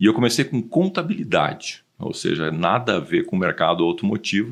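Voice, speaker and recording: The voice moves at a fairly quick pace with very wide pitch swings. Behind it, the background stays quiet. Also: man. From southern Brazil, Rio Grande do Sul (Porto Alegre). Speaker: automotive industry consultant. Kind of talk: podcast interview.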